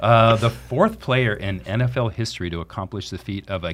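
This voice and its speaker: A man talks with vocal fry. He has an American accent. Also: very clean recording, silent background. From Orange County, California. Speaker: financial planner podcast host. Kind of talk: casual interview. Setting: studio.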